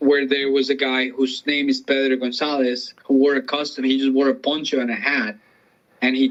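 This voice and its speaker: At a moderate pace, a man speaks in a monotone, flat intonation with a Spanish accent. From Colombia. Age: 30s. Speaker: comedian. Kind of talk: interview.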